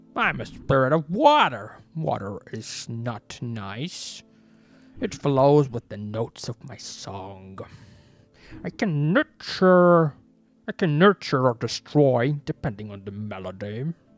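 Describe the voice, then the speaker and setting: A put-on character voice at a low-to-middle pitch, speaking at a very slow pace over faint background music. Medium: solo performance. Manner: seductive, ominous, slow.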